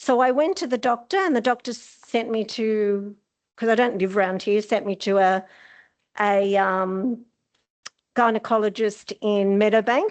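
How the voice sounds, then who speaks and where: Speaking with an Australian accent, a woman with a fairly high voice keeps a very even loudness and ordinary pitch variation against a quiet background. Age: 60s. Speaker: audience member at a health forum. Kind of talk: audience question and personal story. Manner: casual, chatty.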